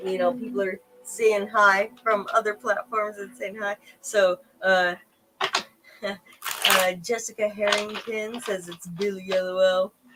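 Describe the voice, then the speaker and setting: At a fairly slow pace, a woman with a slight Southern accent talks at a medium pitch, her intonation fairly even while her loudness swings widely. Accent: slight southern drawl. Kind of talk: livestream chat.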